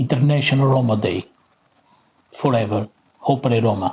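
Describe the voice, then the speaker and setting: A man's somewhat breathy voice at a medium pitch. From Portugal. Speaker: Roma activist. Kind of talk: conference speech.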